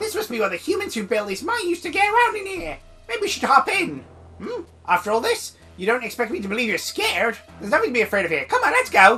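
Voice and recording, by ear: Over faint music in the background, a woman in a put-on character voice talks at a very fast pace with a high, strained pitch.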